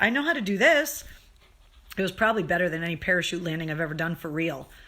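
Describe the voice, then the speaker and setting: Putting on a character voice, a woman rattles along at a very fast pace in a raspy, fairly low voice with lively intonation. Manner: mouth full, eating.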